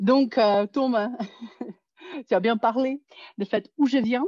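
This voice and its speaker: Speaking with a non-native accent, a woman uses a high pitch and lively intonation in a dry, close sound with no echo. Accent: foreign accent in French. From Soviet Union. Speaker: psychology professor. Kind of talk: conference talk. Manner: hesitant.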